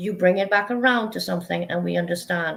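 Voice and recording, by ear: A woman with vocal fry talks fairly quickly in a fairly low pitch, with a fairly bright tone and ordinary pitch variation.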